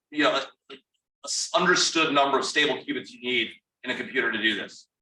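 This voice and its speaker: Talking at a very fast pace, a man has a fairly high pitch. His tone is bright and sharp. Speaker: national security institute director, moderator. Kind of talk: fireside chat interview. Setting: room with audience, also streamed on Zoom. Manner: loud.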